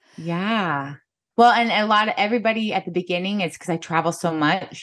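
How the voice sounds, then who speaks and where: A woman talks at a moderate speed, her pitch varying in an ordinary way, and the background stays quiet. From US Midwest, northern Missouri. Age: 40s. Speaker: photographer and podcaster. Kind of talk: casual interview chat.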